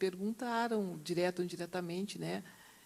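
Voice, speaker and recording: A woman is speaking. She talks at a fairly quick pace with lively intonation. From southern Brazil, Rio Grande do Sul. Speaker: university professor. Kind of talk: panel discussion.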